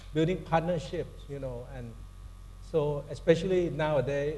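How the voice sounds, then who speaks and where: Speaking fairly slowly with a Thai accent, a man has a fairly high pitch, a dark, mellow tone, a somewhat breathy sound and a monotone, flat intonation, with audible room echo. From Thailand. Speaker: corporate sustainability executive, panelist. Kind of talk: panel discussion. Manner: halting, many fillers and restarts.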